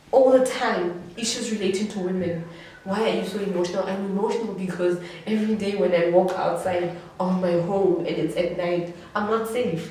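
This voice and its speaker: Amid audible room echo and noticeable background noise, a woman speaks in an animated tone at a moderate pace and medium pitch. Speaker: student activist. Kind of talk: panel discussion. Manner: loud.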